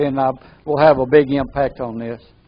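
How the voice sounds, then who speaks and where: Here a man talks at a moderate pace. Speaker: NLP trainer. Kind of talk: training seminar. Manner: halting, repeats words.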